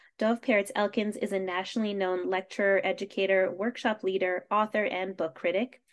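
An ordinary speaking voice, a woman's at a medium pitch, moves at a fairly quick pace over a quiet background. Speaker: event moderator. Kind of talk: formal introduction. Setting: video call.

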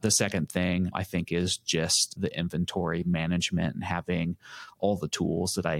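A man's very deep, low voice with an American accent, monotone, flat intonation, and a moderate pace, in a dry, close sound with no echo on a very clean recording with a silent background. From Lawrence, Kansas, US Midwest. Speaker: music shop owner. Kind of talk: interview.

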